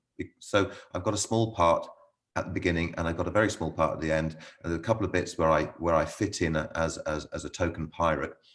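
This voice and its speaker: A man with a very deep, low voice speaks at a very fast pace. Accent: British. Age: 60s. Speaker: local playwright and amateur actor. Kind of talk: casual interview chat. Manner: halting.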